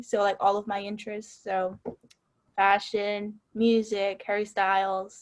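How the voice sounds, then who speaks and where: A woman talks with a slight Texas accent. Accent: subtle Texas. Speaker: student newspaper editor. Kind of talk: casual chat.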